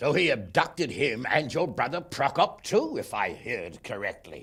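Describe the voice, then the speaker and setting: Putting on a character voice, a man at medium pitch speaks at a moderate pace with very wide pitch swings. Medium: video game. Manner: blunt, gruff.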